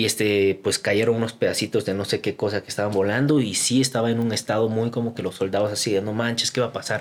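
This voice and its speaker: A man speaks very fast in a flat monotone at a medium pitch, barely pausing. The recording is very clean, with a silent background. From Guatemala. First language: Korean (speaking Spanish). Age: 20s. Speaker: YouTuber and entrepreneur. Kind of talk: casual chat.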